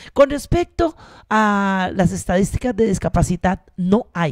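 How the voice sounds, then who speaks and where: Speaking at a very slow pace with lively intonation, a woman is heard in a dry sound with no echo over a quiet background. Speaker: university researcher, council candidate; council candidate. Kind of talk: campaign presentation. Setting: stage with audience. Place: classroom. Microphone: handheld.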